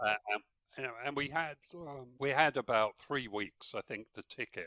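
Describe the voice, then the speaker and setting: Speaking with an English accent, a man with a fairly high pitch talks fairly slowly in a bright, sharp tone with ordinary pitch variation. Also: dry, close sound with no echo. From England. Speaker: historian. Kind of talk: interview answer.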